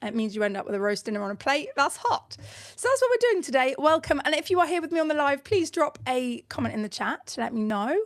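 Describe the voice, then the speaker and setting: A woman with a British accent talks at a very fast pace, her high-pitched voice making very wide pitch swings. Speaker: online business coach. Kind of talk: live tutorial. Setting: livestream with screen share. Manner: casual, chatty with fillers.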